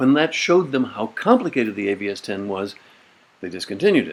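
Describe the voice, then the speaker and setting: A man speaks at a very fast pace. His pitch swings very widely. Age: 80s+. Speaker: computing pioneer, hypertext inventor. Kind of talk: personal memoir talk to camera.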